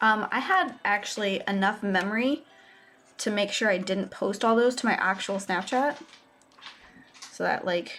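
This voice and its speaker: A woman's mumbling at a medium pitch and moderate pace, with very even loudness, ordinary pitch variation, and long, frequent pauses. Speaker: live streamer painting miniatures. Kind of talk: casual live stream chat. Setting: home desk live stream.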